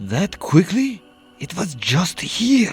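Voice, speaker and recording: Over background music, a man does a put-on character voice in a Russian accent, high in pitch with very wide pitch swings. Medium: read story.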